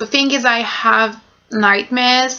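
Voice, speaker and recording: A woman with a French accent, fairly high pitch and a fairly slow pace. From France. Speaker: vlogger. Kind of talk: casual vlog monologue. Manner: halting.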